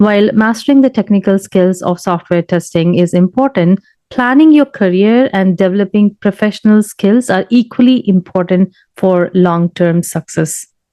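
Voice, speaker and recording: A woman with a medium pitch talks at a moderate pace in an ordinary speaking voice, with very even loudness and ordinary pitch variation. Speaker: software tester. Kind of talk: casual talk to camera.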